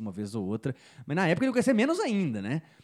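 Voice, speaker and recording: Very clean recording of a man, background silent. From Belo Horizonte, Brazil. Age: 20s. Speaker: digital marketing entrepreneur. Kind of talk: casual interview chat.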